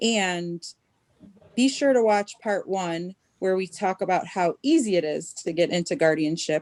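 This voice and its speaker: A woman with an unremarkable speaking voice talks at a fairly slow pace and a medium pitch, with ordinary pitch variation and a dry, close sound without echo. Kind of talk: show host introduction.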